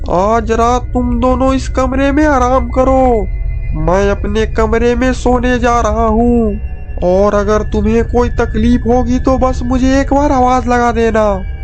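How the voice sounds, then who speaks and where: Clear background noise sits behind a man doing a cartoonish character voice. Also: fairly slow pace. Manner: sinister, gloating with cackling laughter.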